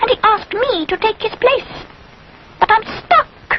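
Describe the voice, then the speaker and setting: A squeaky, cartoonish character voice rings out at an extremely high pitch. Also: moderate pace. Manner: huffy, indignant.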